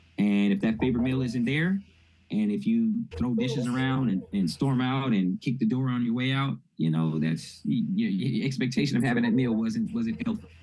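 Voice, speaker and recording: The pitch swings very widely while the loudness stays very even. Noticeable background noise sits behind the voice. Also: man, medium pitch for a man. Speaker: mental health presenter. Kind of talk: lecture. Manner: fast.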